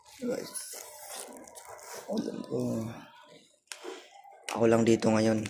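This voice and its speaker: Through noticeable background noise and audible room echo, a man speaks at a very slow pace with long, frequent pauses. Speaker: vlogger. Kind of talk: casual vlog. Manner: repetitive, casual.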